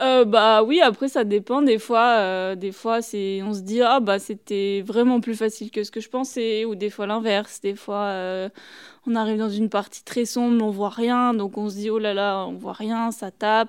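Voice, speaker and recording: In a normal speaking voice, a woman with a fairly high pitch talks at a fairly slow pace with fairly even intonation. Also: very clean recording, silent background. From French Alps (Tignes, Savoie). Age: 20s. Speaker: alpine ski racer. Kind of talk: interview.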